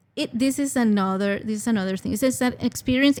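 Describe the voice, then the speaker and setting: A woman with a Spanish accent and a fairly high voice talks at a moderate pace with ordinary pitch variation, in a very clean recording with a silent background. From Venezuela, Caracas. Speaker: international student services coordinator. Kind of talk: podcast interview.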